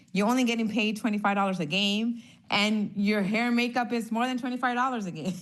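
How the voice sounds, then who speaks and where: Amid audible room echo, the speech comes at a very fast pace with fairly even intonation. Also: woman, fairly high pitch for a woman. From Honduras. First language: Spanish. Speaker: former NFL cheerleader. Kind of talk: casual interview.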